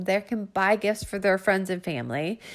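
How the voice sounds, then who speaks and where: On a very clean recording with a silent background, a woman with an American accent speaks in a plain, everyday voice at medium pitch. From Northern Virginia, US. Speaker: podcast host and small business owner. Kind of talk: casual monologue. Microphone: audio quality not always good.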